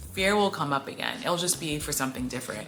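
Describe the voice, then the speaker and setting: A woman's voice amid audible room echo and noticeable background noise. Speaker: small YouTuber vlogger. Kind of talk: casual vlog to camera. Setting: recording alone on camera. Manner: fast; rambling with filler words.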